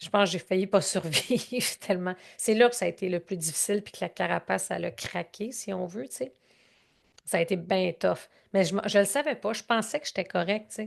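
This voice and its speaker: The speaker has a Canadian French accent and vocal fry, talking at a fairly quick pace. Loudness swings widely, while pitch variation is ordinary. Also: woman, medium pitch for a woman. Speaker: growth strategy consultant and speaker. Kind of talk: interview answer. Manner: emotional, conversational.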